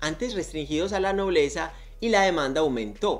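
A man talks with lively intonation. His pitch sits high. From Colombia, Medellín. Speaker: book youtuber. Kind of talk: scripted narration. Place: home room.

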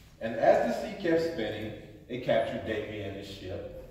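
A man's voice carries strong room echo. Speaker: storybook reader. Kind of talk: read-aloud storytelling. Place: hall. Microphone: phone near.

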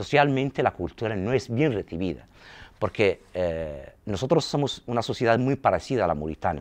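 A man's voice with vocal fry. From Saharawi refugee camps; Western Sahara. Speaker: film school director; interviewee. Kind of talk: interview. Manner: halting. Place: empty room. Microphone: lapel.

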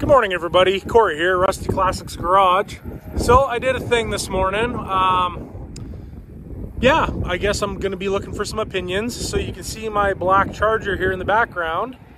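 The speech moves at a moderate pace with hardly any pauses and ordinary pitch variation. The sound is dry with no echo, and there is noticeable background noise. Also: man, high pitch for a man. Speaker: car hobby vlogger. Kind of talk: casual vlog chat. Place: open country. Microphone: phone near.

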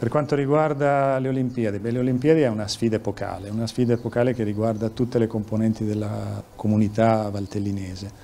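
Light background noise sits behind a man speaking very fast. His pitch is medium, and he takes hardly any pauses. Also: fairly even intonation. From Lombardy, Milan. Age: 60s. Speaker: police chief. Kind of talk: news interview. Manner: halting. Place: office. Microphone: handheld.

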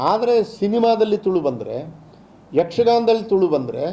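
A man's voice with a dark, mellow tone. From India, Dakshina Kannada (Sullia). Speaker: language authority chairman. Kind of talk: press interview.

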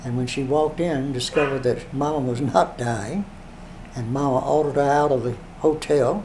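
Against noticeable background noise, a man talks at a fairly quick pace with ordinary pitch variation. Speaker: interviewee recounting literary history. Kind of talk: interview answer. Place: home room.

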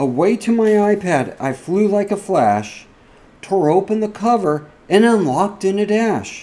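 Here a man speaks at a high pitch in a playful tone, with ordinary pitch variation. His loudness stays very even. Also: fairly slow pace. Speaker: cybersecurity podcast host. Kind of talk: fireside reading of a Christmas parody poem. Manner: storytelling cadence, rhythmic and playful. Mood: playful, cozy storytelling.

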